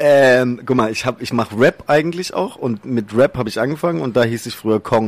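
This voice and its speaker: The speaker uses a normal speaking voice at a fairly quick pace, with ordinary pitch variation. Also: man, medium pitch for a man. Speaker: social media comedian. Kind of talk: interview. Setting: studio.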